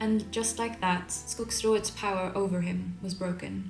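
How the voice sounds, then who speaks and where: Noticeable background noise sits behind a woman speaking with a Swedish accent. Her medium-pitched voice keeps fairly even intonation. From Sweden. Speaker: illustrator. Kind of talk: folk tale reading.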